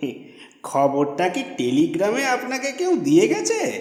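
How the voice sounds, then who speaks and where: A man's put-on character voice at an extremely high pitch, moderate in pace, with clear echo. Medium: read story. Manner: wry, teasing.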